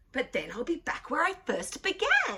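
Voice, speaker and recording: A woman does a put-on character voice, pitched high and swinging very widely up and down. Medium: read story.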